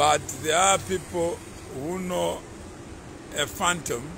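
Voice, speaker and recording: A man speaking at a very slow pace over noticeable background noise. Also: dry sound with no echo. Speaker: commentator. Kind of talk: casual vlog commentary. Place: street. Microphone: phone near.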